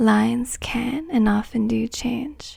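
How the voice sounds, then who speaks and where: A soft-spoken woman talks at a fairly high pitch. Her tone is dark and mellow. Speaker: palm reader. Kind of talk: ASMR palmistry lesson.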